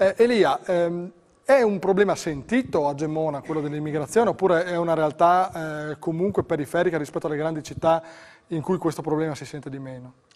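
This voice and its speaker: Spoken at a fairly quick pace, the voice shows big swings in loudness and ordinary pitch variation. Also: man, fairly high pitch for a man. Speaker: TV host. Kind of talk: TV talk show. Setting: studio. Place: studio. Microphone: lapel.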